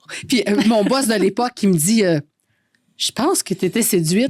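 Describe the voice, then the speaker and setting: A woman with a Quebec accent talks at a fairly slow pace in a fairly high, somewhat breathy voice with lively intonation, recorded dry and close with no echo. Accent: Québécois French. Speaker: radio host. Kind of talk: casual chat.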